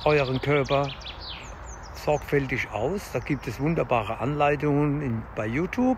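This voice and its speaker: A man speaks at a very slow pace. The sound is dry with no echo, over light background noise. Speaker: fitness vlogger. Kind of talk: casual vlog chat. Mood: calm, encouraging. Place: forest. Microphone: phone near.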